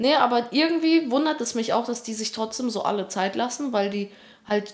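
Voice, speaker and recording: Fairly quick delivery and ordinary pitch variation in an unremarkable speaking voice. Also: woman. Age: 20s. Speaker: part-time student and YouTuber. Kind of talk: casual chat.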